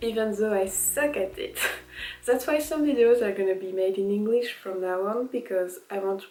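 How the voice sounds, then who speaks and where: At a moderate pace, a woman with a French accent talks in a fairly high pitch with ordinary pitch variation. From France. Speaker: vlogger. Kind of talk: casual vlog monologue.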